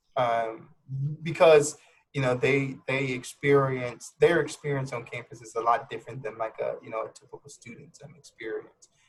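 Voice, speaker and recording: A man speaks at a moderate pace in a fairly high pitch, somewhat breathy, with ordinary pitch variation. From Louisiana (Lafayette). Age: 30s. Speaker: clinical therapist. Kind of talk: casual interview chat. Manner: hesitant, many fillers.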